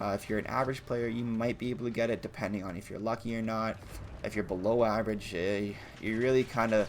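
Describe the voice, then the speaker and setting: A man speaks at a very fast pace in a monotone, flat intonation, with light background noise. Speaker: gaming YouTuber. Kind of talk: gaming tutorial. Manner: halting, stumbles over words; casual. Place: home room. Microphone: headset.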